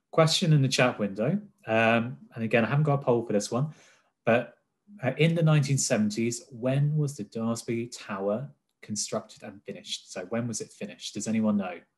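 At a moderate pace and medium pitch, a man speaks in an unremarkable speaking voice over a quiet background. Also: ordinary pitch variation. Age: 30s. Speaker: health technology business cluster manager; webinar host, presenter. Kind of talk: presentation. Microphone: webcam.

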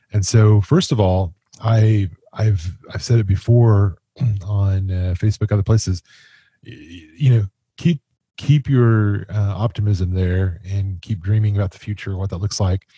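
Fairly low pitch from a man, somewhat breathy, at a fairly slow pace, with ordinary pitch variation, big swings in loudness, a dry sound with no echo, and a quiet background. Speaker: podcast co-host. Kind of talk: podcast commentary. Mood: serious, sympathetic. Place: home room. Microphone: studio mic.

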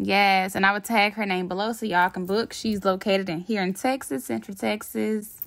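A woman talks at a moderate pace in an upbeat tone against a quiet background. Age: 20s. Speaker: lifestyle vlogger. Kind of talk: casual talk to camera.

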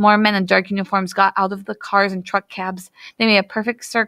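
The text is read aloud in a natural voice.

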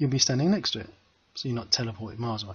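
A man talks very fast at a medium pitch with ordinary pitch variation. His voice is somewhat breathy. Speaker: game development tutor. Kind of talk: screen-recorded coding tutorial. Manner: casual, conversational.

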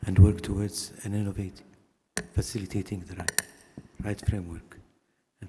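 A man's fairly low, monotone voice with flat intonation over noticeable background noise. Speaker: keynote speaker, former tourism official; keynote speaker. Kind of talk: keynote speech. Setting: conference stage with audience. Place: hall. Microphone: podium.

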